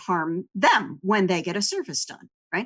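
A woman's plain, everyday voice at medium pitch, over a quiet background. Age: 40s. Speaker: writer and editor at an educational foundation. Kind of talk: interview conversation.

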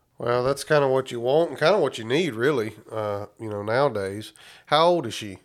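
In a very clean recording with a silent background, a man with an ordinary speaking voice talks at a fairly quick pace and medium pitch, with lively intonation and big swings in loudness. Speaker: podcast host. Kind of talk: casual interview.

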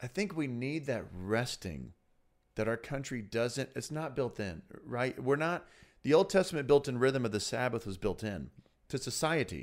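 A man speaks in a plain, everyday voice at medium pitch and a moderate pace, with lively intonation, on a very clean recording with a silent background. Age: 30s. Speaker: senior pastor. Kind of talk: casual chat.

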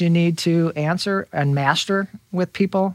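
In a very clean recording with a silent background, a man with an American accent speaks in a high pitch, his intonation fairly even and the sound dry and close with no echo. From Indiana, Fort Wayne. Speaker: real estate broker. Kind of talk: interview. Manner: halting, many fillers.

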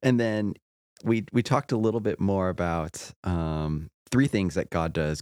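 Lively intonation carries a man's very deep, low voice at a moderate pace. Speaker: podcast host. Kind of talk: casual podcast chat.

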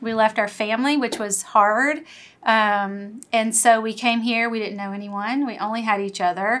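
In a very clean recording with a silent background, a woman with an American accent uses an ordinary speaking voice at fairly high pitch, with fairly even intonation and a moderate pace. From US South (Louisiana). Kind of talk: testimony.

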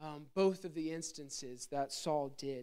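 This is a man with an American accent and an ordinary speaking voice. His pitch varies in an ordinary way, and his pace is fairly slow. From Pennsylvania (Gettysburg). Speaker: evangelist preacher. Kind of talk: sermon. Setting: church with congregation.

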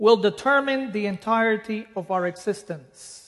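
Against a quiet background, someone speaks at a fairly slow pace with a Spanish accent. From Dominican Republic. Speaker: preacher. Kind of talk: sermon. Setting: church.

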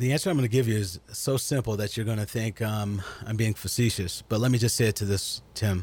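A man with a fairly low pitch talks at a fairly quick pace in a somewhat breathy voice. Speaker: guest discussing race and faith. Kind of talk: radio interview. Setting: radio studio.

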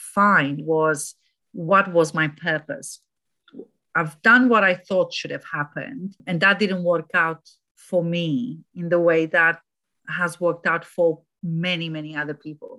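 A woman's fairly low voice with a bright, sharp tone and a Romanian accent, at a fairly slow pace. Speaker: anti-trafficking charity director. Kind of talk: interview.

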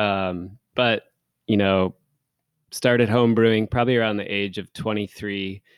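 A man with an American accent has a normal speaking voice at fairly low pitch, moderate pace and fairly even intonation. The recording is very clean with a silent background, dry and close with no echo. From Seattle area, Washington. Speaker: head brewer. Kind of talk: casual chat.

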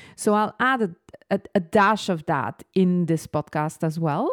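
With a slight French accent and lively intonation, a woman speaks at a very slow pace in a dry, close sound with no echo on a very clean recording with a silent background. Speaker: business coach. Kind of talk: solo podcast monologue.

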